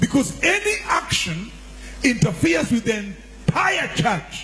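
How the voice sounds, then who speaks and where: Noticeable background noise runs behind a man speaking with a Kenyan accent. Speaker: church leader, deputy archbishop. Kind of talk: sermon.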